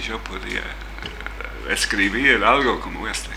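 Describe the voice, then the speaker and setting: A man with an English accent, with audible room echo and noticeable background noise. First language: English (speaking Spanish). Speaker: writer and translator. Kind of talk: casual chat. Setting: studio. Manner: halting.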